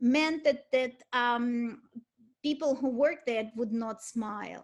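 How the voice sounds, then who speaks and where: Speaking fairly slowly, a woman talks with a Russian accent. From Ukraine (Kyiv), Soviet Union. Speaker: art history lecturer. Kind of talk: lecture. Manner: halting, many repetitions.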